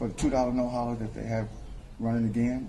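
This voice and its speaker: A man with a medium-pitched voice is heard with audible room echo. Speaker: rapper and promoter. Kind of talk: interview. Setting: nightclub lounge.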